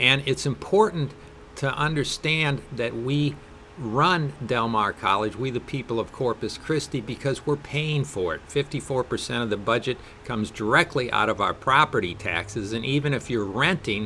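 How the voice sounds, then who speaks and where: Bright and sharp in tone, the voice speaks at a moderate pace with ordinary pitch variation and a Wisconsin accent. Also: man, medium pitch for a man. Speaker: political candidate. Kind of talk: interview.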